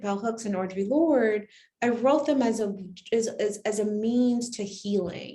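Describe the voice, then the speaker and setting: Audible room echo surrounds the speech. The pitch varies in an ordinary way. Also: woman. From Barbados. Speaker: poet. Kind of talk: poetry reading event talk. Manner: halting, repeats words.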